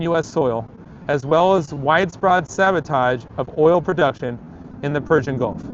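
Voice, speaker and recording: This man has a normal speaking voice with fairly high pitch. He talks at a moderate pace with ordinary pitch variation. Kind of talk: dramatic reading of a political essay.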